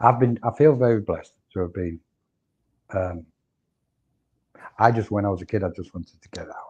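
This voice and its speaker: A man speaks at a fairly quick pace in a fairly low pitch with ordinary pitch variation, somewhat breathy, with big swings in loudness and long, frequent pauses. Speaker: spiritual teacher. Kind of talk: interview. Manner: halting.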